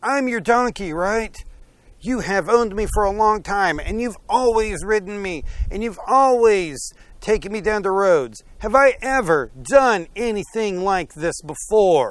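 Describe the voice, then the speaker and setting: The pace is fairly slow. The voice is a put-on character. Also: man, high pitch for a man. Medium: read story.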